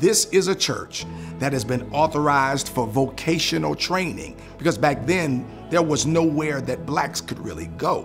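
Clear music sounds in the background. A man talks at a moderate pace. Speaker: church lead pastor. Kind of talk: interview answer. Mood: warm, proud storytelling. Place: church.

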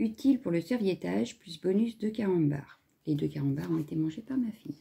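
A woman's fairly low voice sounds somewhat breathy, with a dark, mellow tone. She talks at a fairly slow pace, her pitch swinging very widely. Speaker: crafting YouTuber; crafts vlogger. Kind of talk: video unboxing. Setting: home, filming at a table. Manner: casual, hesitant with many fillers. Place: home room. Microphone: phone near.

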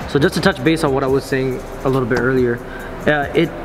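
A man talks at a very fast pace over music playing in the background. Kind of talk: casual vlog chat. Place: garage.

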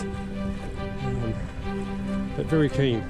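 Loud music plays in the background as a man speaks with a dry sound with no echo. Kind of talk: casual vlog chat. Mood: relaxed, hesitant pauses. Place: boat. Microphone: camera far.

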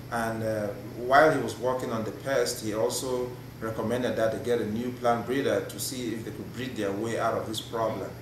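Talking at a fairly quick pace, a man with a medium pitch keeps a monotone, flat intonation amid noticeable background noise and audible room echo. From Cameroon. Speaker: plant breeder. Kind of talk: casual chat. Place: meeting room.

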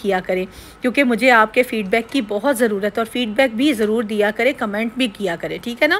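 Her intonation fairly even, a woman talks at a moderate pace. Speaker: home vlogger. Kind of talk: casual vlog chat. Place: kitchen. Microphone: phone near.

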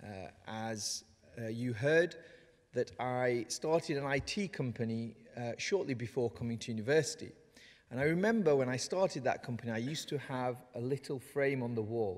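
The man's speech keeps a moderate pace and ordinary pitch variation, with a quiet background behind it. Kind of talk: ceremonial speech. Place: hall. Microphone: podium.

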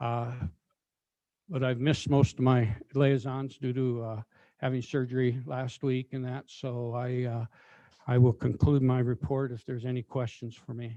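A man speaks at a moderate pace in a medium pitch with a dark, mellow tone and monotone, flat intonation. His loudness swings widely, and the sound is dry and close with no echo. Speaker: county commissioner. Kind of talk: public meeting. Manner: halting.

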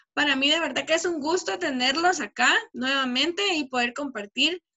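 A woman talks at a fairly quick pace. Her pitch is high, and the background is quiet. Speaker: teacher. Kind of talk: online class teaching. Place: home room. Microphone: webcam.

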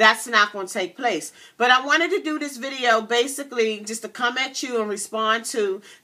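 A woman at a moderate pace, with ordinary pitch variation and big swings in loudness, over a quiet background. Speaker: vlogger. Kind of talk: casual vlog chat. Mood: earnest, somewhat indignant. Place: home room. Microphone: webcam.

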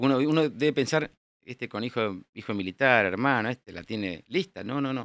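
Over a quiet background, a man talks at a moderate pace with lively intonation, and the sound is dry with no echo. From Buenos Aires, Argentina; Argentina. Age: 60s. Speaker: air force general; guest. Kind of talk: interview. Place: studio. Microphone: studio mic.

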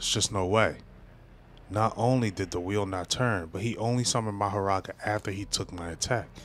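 In a normal speaking voice, the speaker keeps a moderate pace and fairly even intonation, the sound dry with no echo over light background noise. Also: man. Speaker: manga reactor. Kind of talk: reaction commentary, reading aloud. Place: home room. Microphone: studio mic.

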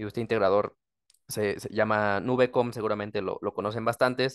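At a moderate pace, a man speaks in a medium pitch and a flat monotone, with a dry, close sound and no echo. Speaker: automation industry executive. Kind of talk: panel discussion. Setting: video call.

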